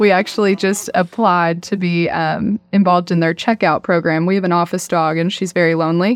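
A woman talks at a fairly quick pace with hardly any pauses, in an ordinary speaking voice. Her pitch is fairly low and her intonation fairly even. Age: 20s. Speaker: real estate closing agent. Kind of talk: casual interview. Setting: studio.

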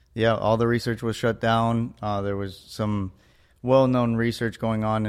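The intonation is monotone and flat on a very clean recording with a silent background. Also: man. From born in Mexico, raised in Florida (US). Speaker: cannabis and mushroom research entrepreneur. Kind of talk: podcast interview.

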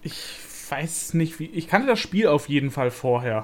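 An unremarkable speaking voice at a moderate pace. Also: man. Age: 20s. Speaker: YouTuber. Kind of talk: casual chat.

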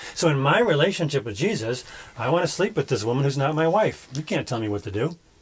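At a very fast pace, a somewhat breathy man speaks at a fairly high pitch with very wide pitch swings. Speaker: podcast host critiquing sermons. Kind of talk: casual commentary chat.

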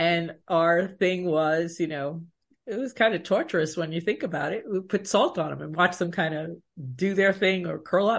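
A woman with an American accent speaks in an ordinary speaking voice, fairly low in pitch, with ordinary pitch variation at a moderate pace against a quiet background. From Long Island, New York. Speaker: leadership coach and keynote speaker. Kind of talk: interview.

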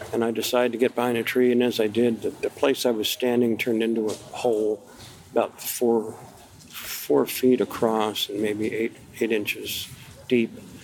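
There is noticeable background noise behind a man's voice. He speaks at medium pitch and a fairly slow pace. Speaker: Vietnam veteran. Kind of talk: interview. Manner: halting.

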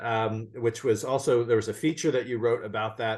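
Against a quiet background, a man talks in a plain, everyday voice. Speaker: podcast host and magazine editor. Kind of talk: interview, casual conversation.

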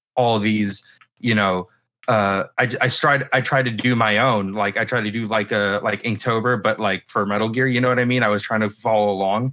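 This man speaks at a moderate pace with a medium pitch, a bright, sharp tone and fairly even intonation. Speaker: artist selling prints. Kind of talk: casual chat.

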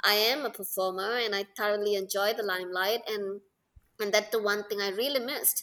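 A woman with a Tamil accent speaks at a fairly high pitch in a bright, sharp tone. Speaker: Bharatanatyam dancer. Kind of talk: casual interview chat.

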